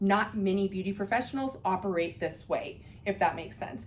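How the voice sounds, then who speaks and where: A woman speaks at a fairly quick pace and medium pitch with fairly even intonation, and the room echo is audible. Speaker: beauty business educator. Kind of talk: class lecture. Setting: classroom with students. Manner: casual, many fillers.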